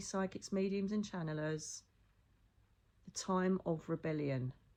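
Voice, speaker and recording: Her dark, mellow tone sits at a medium pitch as this woman talks at a fairly slow pace in an English accent, with ordinary pitch variation. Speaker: psychic medium. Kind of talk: casual monologue.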